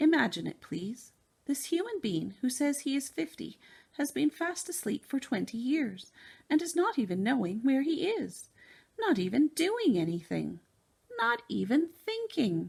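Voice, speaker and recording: A woman performs a put-on character voice, pitched high. She speaks at a moderate pace with very wide pitch swings. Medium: read story. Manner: jumbled grammar, made-up words.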